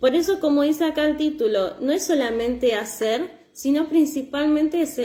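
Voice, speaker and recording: Lively intonation carries a fairly slow delivery in an Argentine accent, with audible room echo. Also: woman. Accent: Argentine Spanish (Rioplatense). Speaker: church preacher. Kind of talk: sermon.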